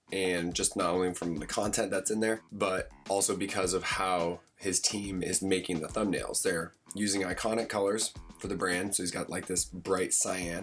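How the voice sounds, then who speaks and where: Over music in the background, a man talks at a moderate pace in a very deep, low voice with flat, monotone intonation. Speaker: graphic design tutorial host. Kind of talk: screen-recorded software tutorial narration. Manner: casual, conversational.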